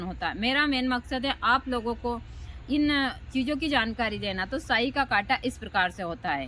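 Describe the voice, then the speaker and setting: A woman with a fairly high pitch speaks in a bright, sharp tone with vocal fry. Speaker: tantric practitioner and spiritual teacher. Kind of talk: spiritual talk to camera. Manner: slow and deliberate in videos.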